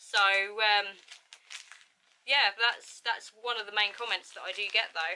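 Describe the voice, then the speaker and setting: Bright and sharp in tone, a woman with an English accent speaks fairly slowly at a medium pitch, her intonation fairly even, her loudness swinging widely, with long, frequent pauses. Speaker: youtuber. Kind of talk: casual chat. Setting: at home.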